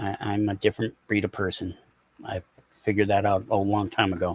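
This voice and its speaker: A man with an American accent speaks at a moderate pace in a fairly low, somewhat breathy voice, with a dry, close sound and no echo. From US Northeast. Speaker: live streamer. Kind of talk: casual chat.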